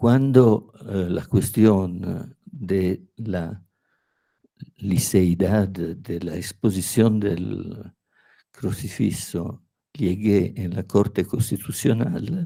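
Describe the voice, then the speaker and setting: With a fairly low pitch and ordinary pitch variation, a man talks at a very slow pace. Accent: Italian. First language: Italian (speaking Spanish). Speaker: law professor. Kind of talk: academic lecture. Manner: halting, with hesitations.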